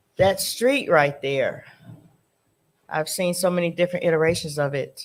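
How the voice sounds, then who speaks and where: Ordinary pitch variation and a moderate pace carry this voice with a Detroit accent. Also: woman, fairly low pitch for a woman. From Detroit, East Side. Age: 60s. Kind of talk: panel talk.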